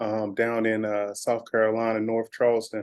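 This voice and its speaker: A man speaks at a moderate pace with a medium pitch. His is an unremarkable speaking voice. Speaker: podcast host. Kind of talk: podcast interview, asking questions. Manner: casual.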